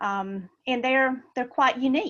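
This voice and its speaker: Against a quiet background, a woman with a Southern US accent speaks at a moderate pace with ordinary pitch variation. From US South, Georgia. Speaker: school telehealth director and nurse. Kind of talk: webinar presentation.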